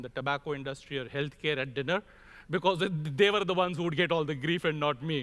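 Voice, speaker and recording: Speaking very fast with an Indian accent, a man at a fairly high pitch uses ordinary pitch variation on a very clean recording with a silent background. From India (Mumbai). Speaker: crop protection industry executive, conference speaker. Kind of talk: conference keynote speech.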